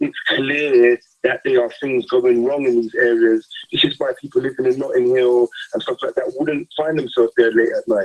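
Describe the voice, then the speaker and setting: The speaker has a London accent. The pace is moderate. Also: man. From south London, Peckham and Camberwell. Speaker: youth worker. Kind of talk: radio interview.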